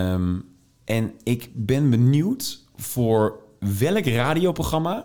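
This is a man talking. His pitch swings very widely. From Netherlands, Tilburg (North Brabant). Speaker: radio DJ. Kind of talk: interview conversation. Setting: meeting room.

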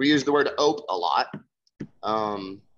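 A man in an American accent speaks fairly slowly with ordinary pitch variation. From Nebraska, US Midwest. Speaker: newspaper designer and music venue owner. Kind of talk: casual interview.

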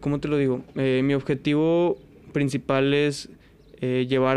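A man speaks at a medium pitch in a monotone, flat delivery. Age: 20s. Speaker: musician and DJ. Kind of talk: casual chat.

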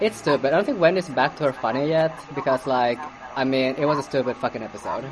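Talking at a very fast pace, a woman with a very deep, low voice uses ordinary pitch variation over noticeable background noise. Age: young. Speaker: podcast host. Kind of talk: casual solo commentary on celebrity news. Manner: halting, many fillers.

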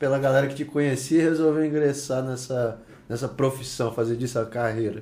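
A man in a normal speaking voice moves along fairly quickly, his pitch varying in an ordinary way. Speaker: podcast co-host. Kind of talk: casual chat.

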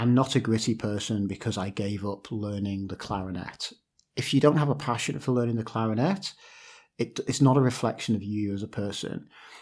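Over a very clean recording with a silent background, a man uses a normal speaking voice at medium pitch, with ordinary pitch variation and a moderate pace. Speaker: podcast host. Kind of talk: casual interview.

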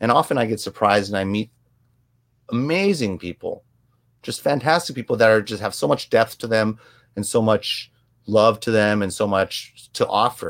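A man with an American accent and a plain, everyday voice speaks at a moderate pace and medium pitch with ordinary pitch variation. The very clean recording has a silent background and a dry, close sound with no echo. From US, Korean American family. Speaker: photographer and videographer. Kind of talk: interview.

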